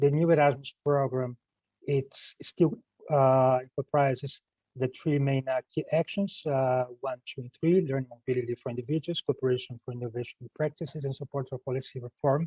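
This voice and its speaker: Here a man talks at a fairly quick pace, his medium-pitched voice dark, mellow and somewhat breathy. The sound is dry and close with no echo, and his intonation stays fairly even. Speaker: EU program officer presenting funding call. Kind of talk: online presentation. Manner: hesitant with many fillers and repetitions; fast.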